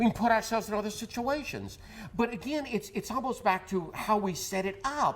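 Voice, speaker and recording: A man with a high pitch, talking at a fairly quick pace with ordinary pitch variation. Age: 60s. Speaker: therapist. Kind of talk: TV interview. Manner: halting, many repeated words.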